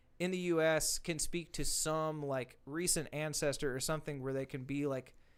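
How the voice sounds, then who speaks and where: With a Southern accent, a man speaks at a fairly high pitch on a very clean recording with a silent background. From US South, Arkansas (rural outside Little Rock). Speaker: country singer-songwriter. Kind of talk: casual chat.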